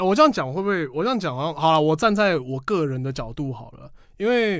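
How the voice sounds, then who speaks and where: A loud man, fairly high in pitch, at a fairly quick pace with very wide pitch swings, in a very clean recording with a silent background. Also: hardly any pauses. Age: 20s. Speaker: game expo organizer. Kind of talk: interview. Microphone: professional microphone.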